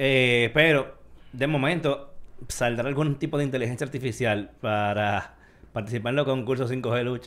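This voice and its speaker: A man's normal speaking voice at a moderate pace with fairly even intonation. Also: medium pitch for a man. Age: 40s. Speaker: tech podcast host. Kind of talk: casual chat.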